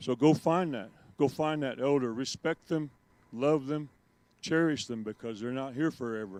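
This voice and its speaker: A man with an American accent talks at a moderate pace in an unremarkable speaking voice. His pitch is medium, with ordinary variation. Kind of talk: public speech.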